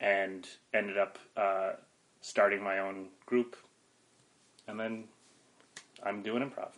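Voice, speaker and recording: Very slowly and with long, frequent pauses, a man in an American accent speaks with monotone, flat intonation. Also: fairly low pitch for a man. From northeastern Pennsylvania (Wilkes-Barre area). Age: 30s. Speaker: improv comedian and teacher. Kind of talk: interview conversation.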